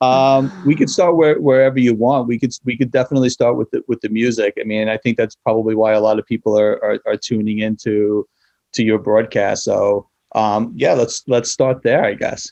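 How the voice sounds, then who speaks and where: A man's medium-pitched voice with a New York accent, dark and mellow in tone, fairly even in intonation and moderate in pace, dry and close with no echo against a quiet background. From New York City. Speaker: nonprofit founder and school social worker. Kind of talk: interview. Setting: video call.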